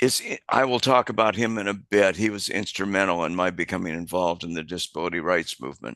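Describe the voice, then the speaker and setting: Very deep and low in pitch, a man talks at a very fast pace with ordinary pitch variation. His tone is bright and sharp, and the background is quiet. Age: 70s. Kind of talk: presentation. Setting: hybrid event, presenting on screen. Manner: halting, with many fillers.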